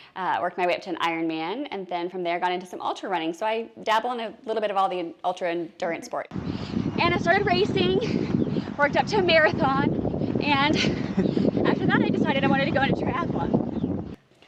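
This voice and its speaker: Noticeable background noise sits behind a woman speaking at a fairly quick pace. Her medium-pitched voice makes very wide pitch swings. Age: 40s. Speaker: endurance athlete. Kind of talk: interview.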